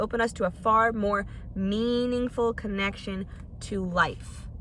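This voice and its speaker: Here a woman has a plain, everyday voice. Her pitch sits fairly high and varies in an ordinary way. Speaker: podcast host. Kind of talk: casual podcast monologue.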